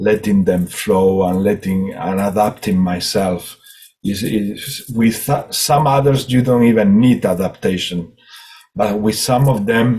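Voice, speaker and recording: Speaking at a fairly slow pace, a man with a Spanish accent uses ordinary pitch variation. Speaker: spiritual healer and hypnotist. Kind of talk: group spiritual session talk. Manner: halting, many repetitions and fillers.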